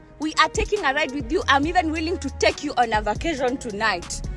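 Faint music plays in the background. Over it, a woman speaks at a moderate pace. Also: dry sound with no echo. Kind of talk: angry confrontation. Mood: angry, mocking. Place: car. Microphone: phone near.

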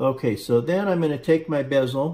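A man's somewhat breathy voice, dark and mellow in tone, with ordinary pitch variation. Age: 60s. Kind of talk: tutorial. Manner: halting, many fillers. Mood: calm, relaxed instruction. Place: workshop. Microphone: phone near.

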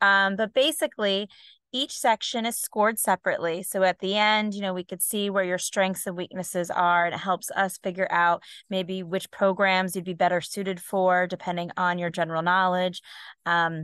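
The woman speaks at a moderate pace with fairly even intonation. The sound is dry with no echo, and the background is quiet. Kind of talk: webinar presentation. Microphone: video call.

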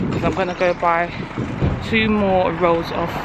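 Over loud background noise, a woman talks at a fairly slow pace. The sound is dry, with no echo. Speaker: vlogger parent. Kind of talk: casual vlog chat. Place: street. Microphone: phone near.

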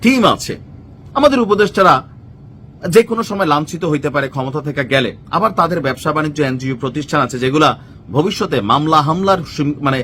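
A man's voice, fairly high in pitch, carries a bright, sharp tone and lively intonation. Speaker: political commentator. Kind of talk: political commentary monologue. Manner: conversational, informal.

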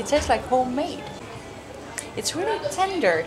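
Clear background noise behind a woman talking at an average speed. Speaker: travel vlogger. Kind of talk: casual vlog chat.

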